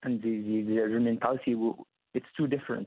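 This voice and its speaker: This is a man speaking with an Arabic accent. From Egypt. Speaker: sports journalist. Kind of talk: interview. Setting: phone call. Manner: halting.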